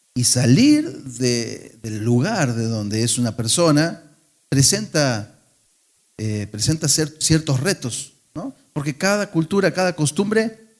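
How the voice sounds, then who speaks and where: A man with an Argentine accent and very wide pitch swings. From Argentina. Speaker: pastor. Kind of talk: sermon. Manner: conversational, with fillers and restarts.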